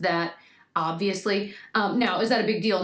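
A woman speaks at a moderate pace and medium pitch, with ordinary pitch variation.

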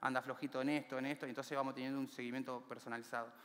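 A man speaks with an Argentine accent against a quiet background. His pitch is fairly high and his intonation fairly even. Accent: Rioplatense Argentine Spanish. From Argentina, Buenos Aires area (villa La Cárcova, San Martín); Buenos Aires, Argentina. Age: 30s. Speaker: community library founder, former prisoner; speaker. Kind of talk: motivational talk; inspirational talk. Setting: stage with audience. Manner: halting, frequent repetitions. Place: stage. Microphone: headset.

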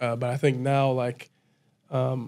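The intonation is monotone and flat. It belongs to a man. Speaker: college football player; podcast guest. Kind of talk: casual chat. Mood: calm, reflective. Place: studio. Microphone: studio mic.

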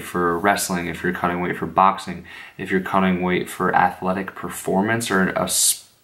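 This man's voice sits very deep and low. He speaks quietly at a moderate pace. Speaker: fitness vlogger. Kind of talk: casual vlog talk. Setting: at home late at night. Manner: quiet, subdued. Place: home room. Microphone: phone near.

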